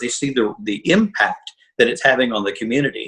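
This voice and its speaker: The sound is dry and close with no echo as a man speaks at a medium pitch. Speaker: journalist and fundraising consultant. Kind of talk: interview conversation. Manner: fast when wound up.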